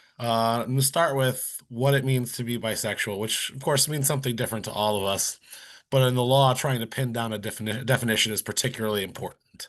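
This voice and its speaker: A man with a medium pitch speaks at a very fast pace and keeps his intonation fairly even. The background is quiet. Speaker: law scholar. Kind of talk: conference keynote talk. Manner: quick.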